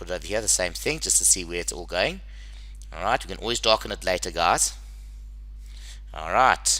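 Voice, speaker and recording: A man talks at a fairly quick pace, with long, frequent pauses. Noticeable background noise can be heard. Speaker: engineering drawing teacher. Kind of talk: tutorial. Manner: fast; casual, conversational.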